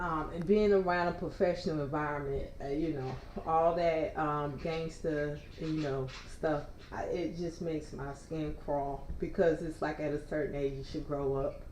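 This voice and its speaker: With audible room echo, a woman with a very deep, low pitch speaks at a moderate pace and fairly even intonation. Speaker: livestreamer reading news. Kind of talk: casual news read and commentary. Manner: loud.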